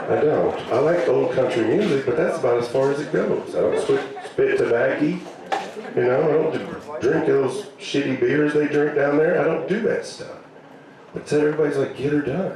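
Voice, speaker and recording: At a moderate pace, a man with an American accent speaks amid noticeable background noise and audible room echo. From US South (Arkansas). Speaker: comedian. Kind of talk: stand-up. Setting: stage with audience.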